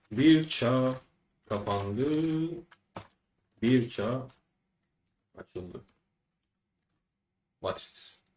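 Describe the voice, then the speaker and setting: Speaking very slowly with long, frequent pauses, a man with a Turkish accent uses a medium pitch, ordinary pitch variation and a somewhat breathy voice. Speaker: language teacher. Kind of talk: tutorial. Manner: halting.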